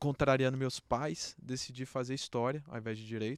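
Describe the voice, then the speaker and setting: Recorded very cleanly with a silent background and a dry, close sound with no echo, a man speaks at medium pitch and a moderate pace. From Brazil, Brasília. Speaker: beer industry association president. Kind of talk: podcast interview. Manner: casual, filler-heavy.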